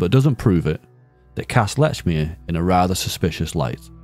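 With a northern English accent, a man speaks at a moderate pace in a very deep, low pitch. His pitch swings very widely over music in the background. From Northern England. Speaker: true crime narrator. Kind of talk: true crime documentary narration.

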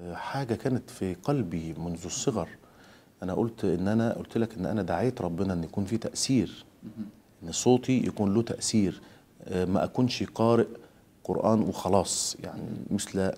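A man talks at a moderate pace with a fairly low pitch, a dark, mellow tone and ordinary pitch variation. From Egypt. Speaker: Quran reciter; interviewee. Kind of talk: interview. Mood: calm, reflective. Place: home room.

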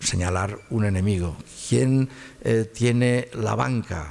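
This man has a fairly low pitch, a dark, mellow tone, and ordinary pitch variation. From Spain, Catalonia (Barcelona). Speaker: constitutional law professor. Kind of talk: lecture. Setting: lecture hall with audience. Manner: halting, many repetitions.

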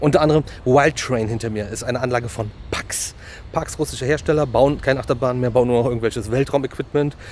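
A very fast man's voice with ordinary pitch variation, dry sound with no echo, and light background noise. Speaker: theme park vlogger. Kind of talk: casual vlog chat. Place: street. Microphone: phone near.

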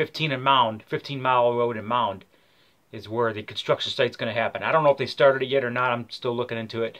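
The background stays quiet. Over it, a man talks at a fairly quick pace. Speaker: political video blogger. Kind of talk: casual vlog rant. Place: home room. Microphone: webcam.

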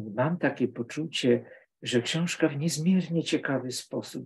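A man speaks at a very slow pace, somewhat breathy, with ordinary pitch variation. The background is quiet. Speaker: literature professor. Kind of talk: academic book discussion. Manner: halting.

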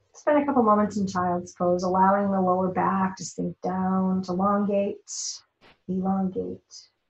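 A woman's somewhat breathy, medium-pitched voice at a moderate pace, with fairly even intonation, audible room echo and a quiet background. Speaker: yoga teacher. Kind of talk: guided yoga class instruction. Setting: online live class. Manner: gentle, encouraging. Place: home room. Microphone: camera far.

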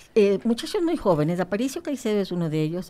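A woman speaks in a dark, mellow tone. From Ecuador, Guayaquil (coast); Ecuador. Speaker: legislator; politician interview guest. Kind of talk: radio interview. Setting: radio studio. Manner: halting, many fillers and repetitions. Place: studio. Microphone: studio mic.

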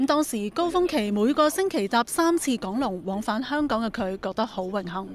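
A woman with a Hong Kong accent speaks at a moderate pace with hardly any pauses. Her fairly high voice has very wide pitch swings over noticeable background noise. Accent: Hong Kong Cantonese. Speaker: news reporter. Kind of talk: news report narration.

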